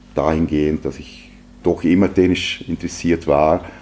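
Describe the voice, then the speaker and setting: A man whose pitch is very deep and low talks at a moderate pace through noticeable background noise. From Austria, Vorarlberg (Lustenau). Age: 40s. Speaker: textile entrepreneur. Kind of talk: interview. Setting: guest's office.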